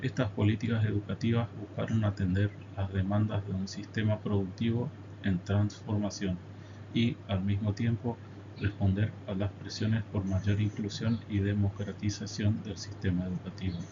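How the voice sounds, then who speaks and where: Over noticeable background noise, the speech moves at a moderate pace with monotone, flat intonation. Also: man, fairly low pitch for a man. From Argentina, Corrientes province. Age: 30s. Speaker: teacher. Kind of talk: presentation reading a prepared academic text. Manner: formal.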